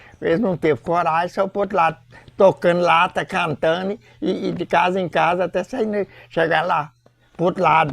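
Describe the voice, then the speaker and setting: Recorded dry and close with no echo, a man speaks at a moderate pace in a high voice. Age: 80s+. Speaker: folk religious group leader. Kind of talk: interview testimony. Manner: halting.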